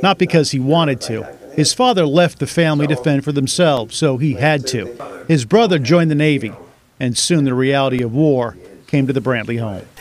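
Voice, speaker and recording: This man has an unremarkable speaking voice pitched fairly high. He talks at a fairly quick pace with ordinary pitch variation. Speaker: TV news reporter. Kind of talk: news feature narration.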